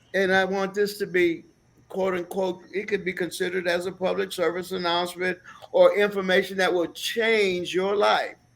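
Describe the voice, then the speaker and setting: The speaker is a man with a high voice. He talks with an American accent. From USA. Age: 60s. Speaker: talk show co-host. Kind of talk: casual discussion.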